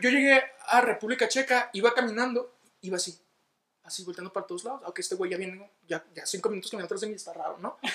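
A man speaks in a raised, projected voice. His pitch is extremely high. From northern Mexico, Ciudad Juárez, Chihuahua. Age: 20s. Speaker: guest. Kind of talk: casual chat.

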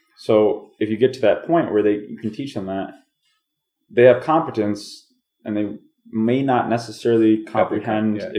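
Speaking at a moderate pace with an American accent, this is a plain, everyday voice. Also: man. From New York. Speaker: podcast co-host. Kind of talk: casual chat.

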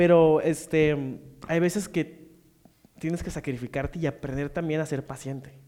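This man speaks fairly slowly in a fairly high voice with fairly even intonation. It is a normal speaking voice. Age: 20s. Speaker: podcast co-host, actor and stand-up comedian. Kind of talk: casual chat.

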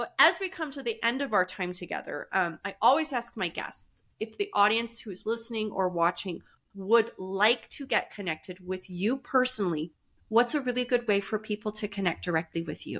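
A normal speaking voice at a moderate pace with lively intonation, on a very clean recording with a silent background. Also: woman, fairly high pitch for a woman. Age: 40s. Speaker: podcast host. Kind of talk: interview conversation.

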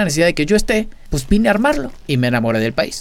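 This man speaks very fast. His pitch swings very widely. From Argentina, Buenos Aires. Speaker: illusionist. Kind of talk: casual interview chat.

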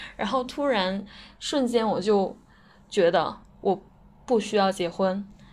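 A woman of medium pitch speaks very slowly, with long, frequent pauses. Her pitch varies in an ordinary way. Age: 20s. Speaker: listener contributor, software worker. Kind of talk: recorded personal testimony.

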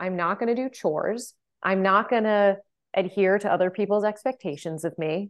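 A woman talks in a plain, everyday voice at a medium pitch. Her pace is moderate, with ordinary pitch variation. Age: 30s. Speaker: podcast host. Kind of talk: casual chat.

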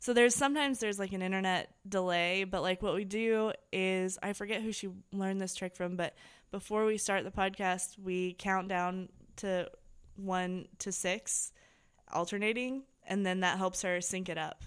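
In a very clean recording with a silent background, a woman with an American accent speaks in a normal speaking voice at a medium pitch, with fairly even intonation. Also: moderate pace. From US Midwest, Indiana. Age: 30s. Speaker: comedian. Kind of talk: casual chat.

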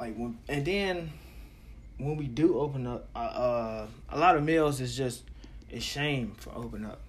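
Speaking at a moderate pace, a man leaves long, frequent pauses, with big swings in loudness. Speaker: podcaster. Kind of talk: casual monologue. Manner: soft-spoken, does not project voice; halting, filler-heavy.

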